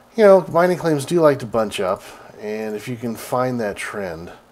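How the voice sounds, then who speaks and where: Behind this man there is noticeable background noise. His pitch is medium, with ordinary variation. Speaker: video game streamer. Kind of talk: casual gameplay commentary.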